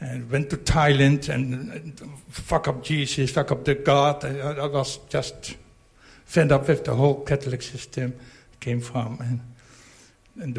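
A man's fairly even intonation with vocal fry. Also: medium pitch for a man, fairly slow pace. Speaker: retreat participant. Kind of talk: testimony. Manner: halting.

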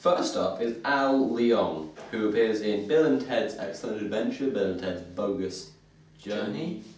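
Speaking at a fairly slow pace, a man's voice carries audible room echo. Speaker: group vlog host. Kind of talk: casual vlog chat. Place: home room. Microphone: camera far.

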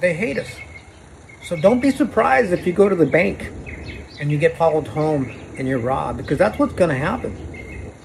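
The speaker has an American accent and very wide pitch swings. Long, frequent pauses break up the speech over light background noise. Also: man, moderate pace. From Arizona, Phoenix area. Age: 60s. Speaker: vlogger. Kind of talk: personal video monologue. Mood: serious, aggrieved, religious. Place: street. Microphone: phone near.

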